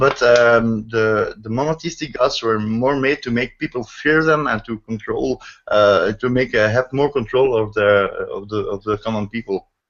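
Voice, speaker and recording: A man's medium-pitched voice with a Dutch accent. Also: ordinary pitch variation, moderate pace. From Netherlands. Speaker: online discussion host. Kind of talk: casual discussion. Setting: video call. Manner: halting, many fillers.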